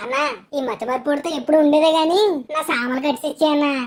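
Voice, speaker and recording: A woman does a cartoonish character voice at a high pitch. She talks at a very fast pace with fairly even intonation. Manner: loud, taunting.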